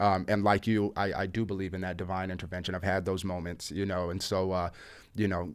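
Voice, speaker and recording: On a very clean recording with a silent background, a man with a very deep, low pitch and an American accent speaks at a fairly quick pace in a monotone, flat intonation. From United States. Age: 30s. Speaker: podcast host. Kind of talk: casual interview chat.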